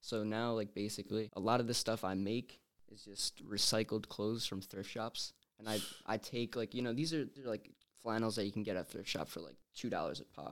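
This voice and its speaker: This man has a plain, everyday voice, pitched fairly low. He talks at a fairly quick pace with fairly even intonation. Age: 20s. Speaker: student and clothing designer. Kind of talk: casual interview. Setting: studio.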